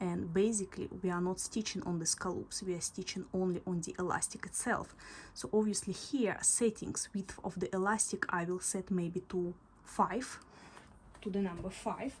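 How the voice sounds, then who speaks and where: A woman talks at a moderate pace in a medium pitch. Her intonation stays fairly even. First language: not English. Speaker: sewing instructor. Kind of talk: tutorial. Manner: halting, with fillers.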